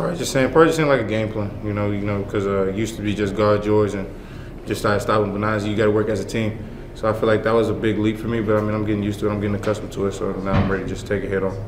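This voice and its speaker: Man at a very fast pace, fairly low pitch, fairly even intonation, with audible room echo and noticeable background noise. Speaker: college basketball player. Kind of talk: press interview.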